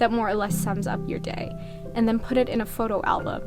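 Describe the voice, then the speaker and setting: Over music in the background, a woman with a fairly high pitch lets her voice swing very widely. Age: 20s. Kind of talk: casual advice monologue to camera.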